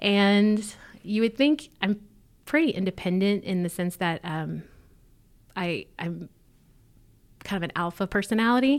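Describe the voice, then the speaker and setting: Speaking with a Southern US accent, a woman talks at a fairly slow pace and medium pitch, with lively intonation and long, frequent pauses, on a very clean recording with a silent background. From Mississippi. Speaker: church leader, pastor's wife. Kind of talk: interview testimony.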